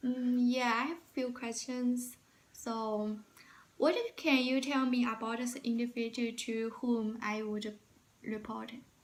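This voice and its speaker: Speaking in a Chinese accent, a woman with a high pitch talks at a fairly slow pace with monotone, flat intonation. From China. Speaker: job interview candidate. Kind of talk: mock job interview. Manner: halting, many fillers.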